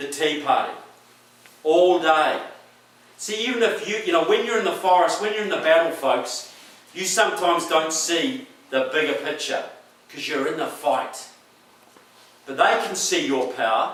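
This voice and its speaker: Speaking at a moderate pace with lively intonation and long, frequent pauses, a man with a New Zealand accent and a high pitch is heard amid noticeable background noise and audible room echo. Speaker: political speaker. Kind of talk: speech to a rally audience. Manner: animated.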